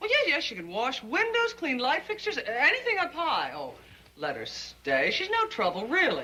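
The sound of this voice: A woman's put-on character voice, high and bright and sharp, with very wide pitch swings at a moderate pace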